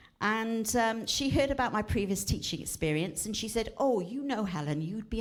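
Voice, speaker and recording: Very wide pitch swings ring out with audible room echo. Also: woman. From South Wales, Cardiff. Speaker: retired teacher, charity speaker. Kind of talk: church talk.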